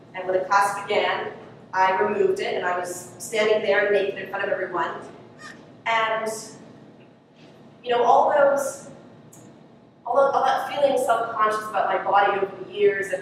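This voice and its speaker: A woman with a medium pitch talks at a moderate pace with long, frequent pauses and big swings in loudness over noticeable background noise. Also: ordinary pitch variation. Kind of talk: acted monologue. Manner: hesitant, conversational.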